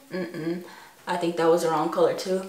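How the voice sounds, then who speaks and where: Audible room echo around a woman speaking. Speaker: beauty vlogger. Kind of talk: casual makeup tutorial chat.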